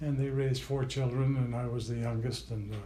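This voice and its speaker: Audible room echo surrounds a man who speaks very fast at medium pitch in a monotone, flat intonation. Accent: American. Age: 80s+. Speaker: interviewee, grandfather. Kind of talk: family oral history interview. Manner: halting, many fillers.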